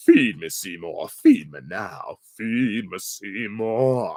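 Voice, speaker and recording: A man uses a put-on character voice at medium pitch. He speaks very slowly. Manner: demanding, hungry.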